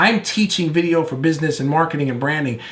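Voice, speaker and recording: With noticeable background noise and audible room echo, a man talks in an animated tone with ordinary pitch variation. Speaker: video marketing coach. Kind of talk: online course lecture. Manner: fast; loud, animated.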